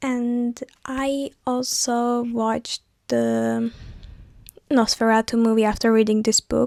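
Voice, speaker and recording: In a very clean recording with a silent background and a dry, close sound with no echo, a woman with a Turkish accent speaks at a fairly high pitch. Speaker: vlogger. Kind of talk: casual vlog talk.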